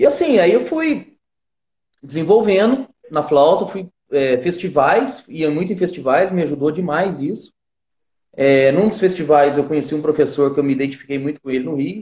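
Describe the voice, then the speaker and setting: A plain, everyday voice is heard here. It varies in pitch in an ordinary way. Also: man, fairly high pitch for a man, moderate pace. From southern Minas Gerais, Brazil. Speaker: flautist. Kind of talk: interview.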